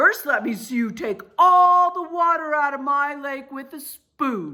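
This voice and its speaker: Using a put-on character voice, a woman speaks high in pitch. Her pace is fairly slow. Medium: read story. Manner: gloating, taunting.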